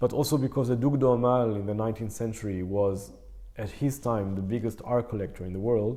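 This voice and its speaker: With a non-native accent, a man talks in a fairly low pitch and a dark, mellow tone. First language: not English. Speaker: concert pianist. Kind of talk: casual interview. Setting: in person, Berlin. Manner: halting, many fillers.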